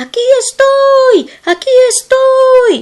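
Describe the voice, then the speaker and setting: In a put-on character voice, the speaker squeaks along at an extremely high pitch and a very slow pace. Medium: read story. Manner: steadfast, restrained.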